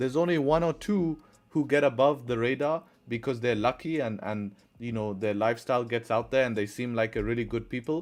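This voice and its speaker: Over a quiet background, a man with an English accent talks at a medium pitch and a fairly quick pace, with ordinary pitch variation. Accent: English accent, noted by chat. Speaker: forex trader and live streamer. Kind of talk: live stream chat with viewers. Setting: live stream. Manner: casual, conversational.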